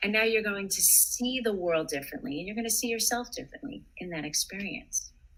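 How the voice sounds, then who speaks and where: Speaking at a fairly quick pace with hardly any pauses, a woman uses a fairly high pitch, a calm tone and lively intonation. Noticeable background noise sits behind her voice. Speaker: psychotherapist. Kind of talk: interview advice.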